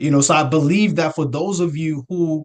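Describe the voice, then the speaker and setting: A man speaks in an American accent with a fairly high pitch. His tone is animated. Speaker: real estate investor. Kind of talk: motivational talk.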